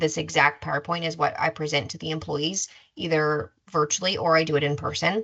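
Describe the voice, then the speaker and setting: A woman with a very deep, low pitch, vocal fry and a bright, sharp tone speaks at a fairly quick pace with ordinary pitch variation. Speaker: insurance enrollment specialist. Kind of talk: webinar presentation. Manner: fast.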